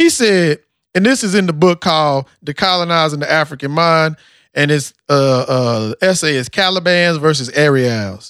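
A man with a slight Southern US accent talks at a moderate pace, his fairly high pitch rising and falling in lively intonation. The recording is very clean with a silent background and a dry, close sound with no echo. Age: 30s. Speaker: podcast host. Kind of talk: casual chat, podcast dialogue. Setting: studio.

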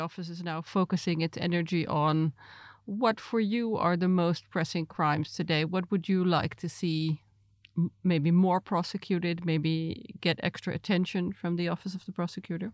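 On a very clean recording with a silent background and a dry, close sound with no echo, a woman with an ordinary speaking voice talks at a moderate pace, fairly low in pitch and with fairly even intonation. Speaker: podcast co-host interviewer. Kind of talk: interview questions.

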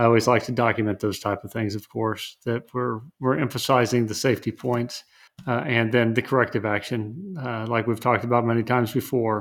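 In a plain, everyday voice, a man speaks at a fairly quick pace with medium pitch and fairly even intonation, on a very clean recording with a silent background. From West Texas. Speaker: lawyer. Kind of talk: casual chat.

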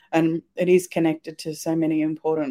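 In an Australian accent, a woman speaks with a very deep, low pitch, a dark, mellow tone and monotone, flat intonation. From rural Victoria, Australia (Swan Hill area, Murray border). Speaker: business founder. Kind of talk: casual interview.

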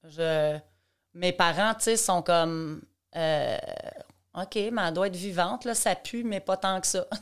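The woman's voice sits at a medium pitch and moves at a very slow pace with long, frequent pauses. The recording is very clean, with a silent background. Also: ordinary pitch variation. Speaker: ballet teacher and educator. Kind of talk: casual interview. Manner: talkative, non-stop; animated.

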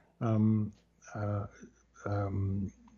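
A somewhat breathy male voice with an American accent. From US Northeast, New York area. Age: 70s. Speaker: author and former journalist. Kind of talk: interview. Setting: home studio, phone call. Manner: halting, many fillers.

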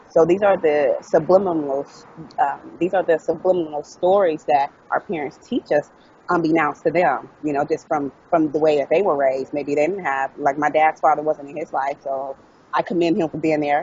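A woman with an American accent speaks at a moderate pace, her very deep, low pitch held in fairly even intonation. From US Midwest, Dayton, Ohio. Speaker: author. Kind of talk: interview.

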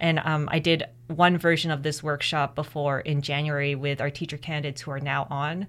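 In a Canadian accent, a woman with a very deep, low pitch talks at a fairly quick pace with hardly any pauses and a monotone, flat intonation. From Canada. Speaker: PhD student in education, former teacher. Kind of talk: interview.

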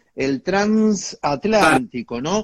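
A high-pitched man with an Argentine accent, very slow, with very wide pitch swings. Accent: Rioplatense Argentine Spanish. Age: 50s. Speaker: communication expert and lecturer. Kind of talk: interview. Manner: animated.

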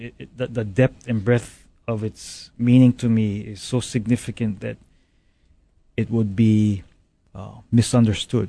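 With a Hawaiian accent, a man speaks at a fairly slow pace in a dark, mellow tone at medium pitch, his intonation fairly even. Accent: Hawaii local English. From Hawaii, Big Island plantation community. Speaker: business owner. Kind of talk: interview. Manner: halting.

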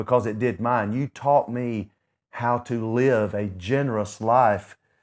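A man speaks in a normal speaking voice at medium pitch with fairly even intonation, on a very clean recording with a silent background. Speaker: author and former ministry assistant. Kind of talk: interview about his book.

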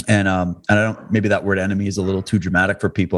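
Over a quiet background, a man with a western Canadian accent talks at a very fast pace. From Canada, Alberta. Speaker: documentary filmmaker and activist. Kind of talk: interview conversation. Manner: animated.

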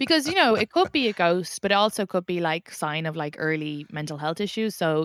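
In a very clean recording with a silent background and a dry, close sound with no echo, a woman talks very fast at a fairly low pitch with ordinary pitch variation. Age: 30s. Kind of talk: casual banter.

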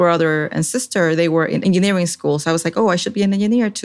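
A woman's fairly low voice in a Spanish accent, with ordinary pitch variation. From Puerto Rico. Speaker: government science analyst. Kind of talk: interview.

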